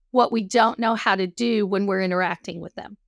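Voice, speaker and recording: A woman speaks with a Texas accent in a dry, close sound with no echo. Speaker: counselor. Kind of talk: interview conversation.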